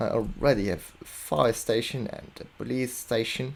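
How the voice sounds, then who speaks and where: A man talks with a non-native accent. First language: not English. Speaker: video game commentator. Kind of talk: casual gameplay commentary. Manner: hesitant.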